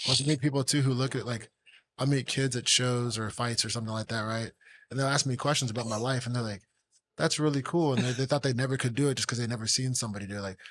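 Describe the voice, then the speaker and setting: A man talks very fast at a medium pitch. His intonation is fairly even, and the background is quiet. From South Florida, Fort Lauderdale. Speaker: professional MMA fighter. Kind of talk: casual podcast chat.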